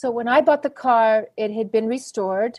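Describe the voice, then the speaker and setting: A woman speaks in a plain, everyday voice, fairly high in pitch, at a moderate pace with fairly even intonation. The recording is very clean, with a silent background. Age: 60s. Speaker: classic car rally driver. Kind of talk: podcast interview answer.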